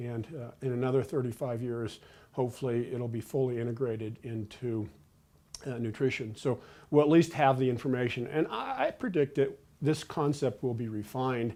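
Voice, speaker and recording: With a dark, mellow tone, a man speaks at a medium pitch using fairly even intonation. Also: moderate pace. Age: 60s. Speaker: nutrition professor. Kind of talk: interview. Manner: hesitant, many fillers.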